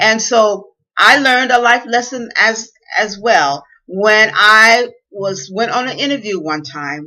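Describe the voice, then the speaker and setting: The speech comes in a Southern US accent at a fairly slow pace. Its intonation is lively. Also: woman, fairly high pitch for a woman. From US South. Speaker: inspirational speaker. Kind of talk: motivational talk. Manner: careful enunciation at times.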